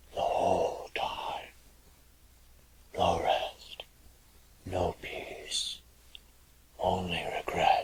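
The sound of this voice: A man whispers in a put-on character voice with vocal fry and a husky, rough edge. He goes at a very slow pace with long, frequent pauses.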